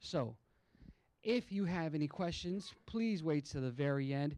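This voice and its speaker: On a very clean recording with a silent background, a man speaks at a fairly high pitch with ordinary pitch variation. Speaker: county assessor's office outreach presenter. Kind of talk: public information presentation. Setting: public meeting room with small audience, microphone. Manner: loud by nature, toned down for mic; casual, chatty.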